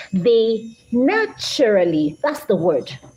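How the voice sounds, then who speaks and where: A woman with a fairly high pitch speaks with vocal fry. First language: Idoma. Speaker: English language teacher. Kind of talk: live-stream lecture.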